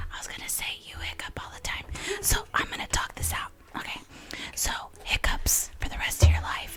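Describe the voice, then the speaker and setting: Whispering at a fairly quick pace, a woman leaves long, frequent pauses, her loudness swings widely, and noticeable background noise runs underneath. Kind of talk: casual podcast talk. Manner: whispered.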